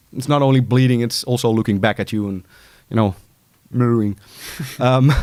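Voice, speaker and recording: With a Dutch accent, a man speaks at a fairly quick pace in a medium pitch, keeping his intonation fairly even. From Netherlands. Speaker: music producer and artist coach. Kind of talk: casual interview chat. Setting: studio.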